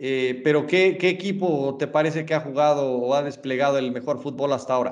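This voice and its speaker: Spoken with a Mexican accent and ordinary pitch variation, the voice carries audible room echo. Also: man. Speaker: podcast host. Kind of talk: casual chat. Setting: studio.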